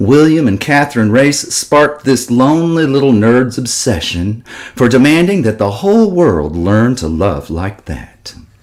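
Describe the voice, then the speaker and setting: At a fairly slow pace, a man speaks at a medium pitch with a slight Texas accent. His pitch swings very widely, and he leaves hardly any pauses. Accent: slight Texas drawl. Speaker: political speaker. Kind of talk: speech.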